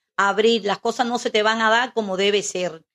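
Against a quiet background, a woman talks at a moderate pace with a fairly high pitch. She has an ordinary speaking voice, and the sound is dry and close with no echo. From Cuba, Camagüey. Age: 60s. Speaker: host's mother. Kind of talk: interview. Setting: home studio.

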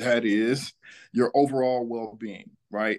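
In an American accent, a man talks at a fairly slow pace and a medium pitch. He has an unremarkable speaking voice, and the background is quiet. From Atlanta, Georgia (US South). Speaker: financial advisor, former pro athlete. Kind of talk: interview.

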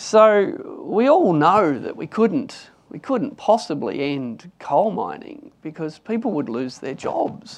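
Someone with an Australian accent speaks at a very slow pace with hardly any pauses. The pitch swings very widely and the loudness shifts greatly against a quiet background. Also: man, high pitch for a man. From Australia, Newcastle NSW. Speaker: economist. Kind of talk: panel discussion.

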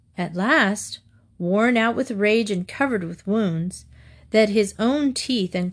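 A natural reading voice with ordinary pitch variation carries the words.

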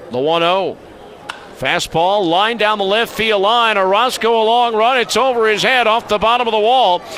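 A man holds a very even loudness while speaking at a moderate pace, his pitch high with ordinary variation. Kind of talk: sports commentary, play-by-play highlight recap.

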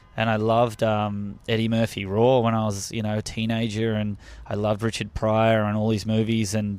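On a very clean recording with a silent background, a man with an Australian accent speaks at a moderate pace in a fairly low, monotone, flat voice. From Melbourne, Australia. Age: 30s. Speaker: stand-up comedian. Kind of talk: casual interview chat. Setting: studio.

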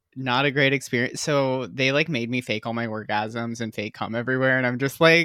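The tone is bright and sharp, with an American accent. The recording is very clean, with a silent background. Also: man. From US Midwest, Michigan (Holland). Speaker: adult film performer and producer. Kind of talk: casual chat. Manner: animated.

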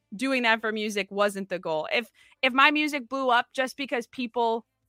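A woman with an American accent speaks at a moderate pace with ordinary pitch variation, the sound dry and close with no echo and music playing behind her. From Minnesota. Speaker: sports reporter and musician. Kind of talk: casual chat.

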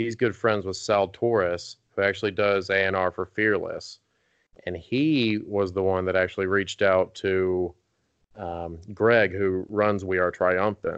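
Speaking at a fairly slow pace, a man with a strong Southern US accent uses a fairly low pitch and fairly even intonation. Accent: thick Southern US. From North Carolina, US South. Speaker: rock band singer. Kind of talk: casual interview chat.

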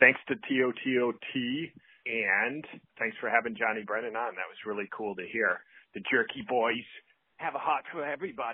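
This man has an ordinary speaking voice at medium pitch, with ordinary pitch variation. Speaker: record store owner. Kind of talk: voicemail message. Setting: phone call.

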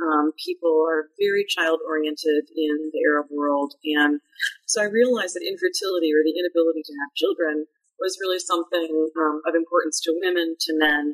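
With an American accent, a woman speaks at a fairly quick pace in a fairly low pitch and fairly even intonation, the sound dry and close with no echo. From US Midwest, Madison, Wisconsin. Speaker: anthropology professor. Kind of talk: interview.

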